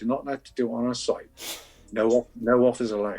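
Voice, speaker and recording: With an English accent, a man talks at a very fast pace and medium pitch. His intonation stays fairly even over music in the background. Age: 60s. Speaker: coin collector. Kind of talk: interview.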